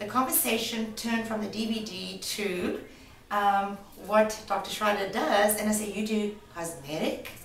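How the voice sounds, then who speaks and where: A woman speaks in a fairly high voice with ordinary pitch variation over noticeable background noise. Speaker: former movie-industry booker and producer. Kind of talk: interview answer.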